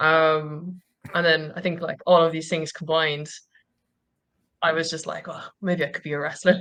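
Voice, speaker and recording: A woman with a Cork accent speaks at a moderate pace in a very deep, low pitch with monotone, flat intonation. Her loudness swings widely, and long, frequent pauses interrupt her speech. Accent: Cork Irish. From Ireland, Cork. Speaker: professional wrestler. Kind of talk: interview. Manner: casual, many fillers.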